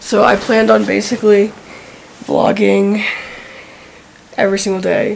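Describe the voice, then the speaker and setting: A woman's voice comes through over noticeable background noise. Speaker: vlogger. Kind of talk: vlog. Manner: filler-heavy, halting.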